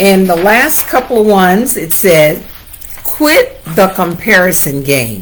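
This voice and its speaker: A woman with an American accent, medium pitch and very wide pitch swings at a very slow pace, amid noticeable background noise and audible room echo. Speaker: real estate agent. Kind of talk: livestream talk. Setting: Facebook Live.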